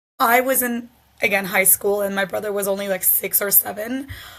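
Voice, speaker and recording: A woman talks at a moderate pace, her pitch medium with ordinary variation. Her tone is bright and sharp. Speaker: gender equality advocate. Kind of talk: interview. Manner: halting, many fillers.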